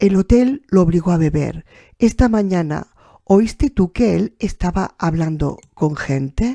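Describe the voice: Lively intonation in plain reading aloud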